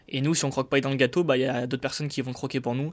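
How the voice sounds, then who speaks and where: A man with a medium-pitched voice is heard on a very clean recording against a silent background. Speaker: finance podcast host. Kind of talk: solo market commentary podcast. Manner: hesitant, many filler words.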